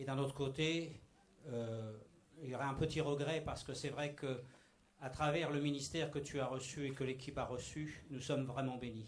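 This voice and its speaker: A man speaks at a moderate pace in a flat, monotone delivery, his pitch fairly high for a man. Noticeable background noise and audible room echo surround his voice. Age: 60s. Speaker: church member giving testimony. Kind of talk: testimony. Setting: church meeting with microphone.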